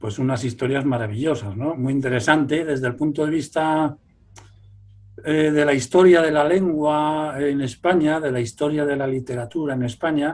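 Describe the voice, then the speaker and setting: With fairly even intonation, a man speaks at a moderate pace and a fairly high pitch, in an unremarkable speaking voice. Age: 60s. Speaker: folklorist. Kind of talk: interview.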